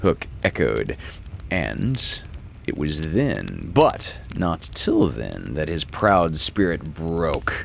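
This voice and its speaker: With vocal fry and a very deep, low pitch, a man talks at a very slow pace through very wide pitch swings. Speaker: actor and audiobook reader. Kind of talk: storybook narration.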